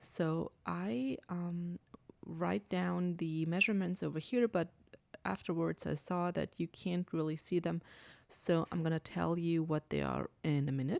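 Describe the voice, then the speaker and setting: A woman speaks in an Austrian accent with a fairly low pitch. Her pace is fairly slow. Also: ordinary pitch variation, dry, close sound with no echo. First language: German. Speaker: crafting demonstrator. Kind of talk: tutorial. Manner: hesitant, many fillers.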